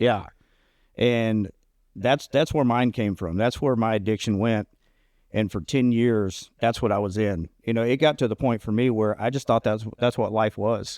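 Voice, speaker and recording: A man's normal speaking voice, medium in pitch, at a moderate pace with fairly even intonation, dry and close with no echo, on a very clean recording with a silent background. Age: 40s. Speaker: recovering addict podcast co-host. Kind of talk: casual chat.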